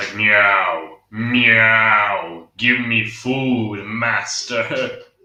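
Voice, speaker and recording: A man puts on a character voice at a medium pitch and speaks at a very slow pace. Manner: demanding, playful.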